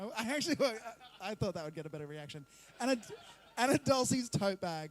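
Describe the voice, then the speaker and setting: With an Australian accent, a man talks at a fairly quick pace in a high pitch marked by very wide pitch swings and big swings in loudness. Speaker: bar owner and event organiser. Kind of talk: live event announcement.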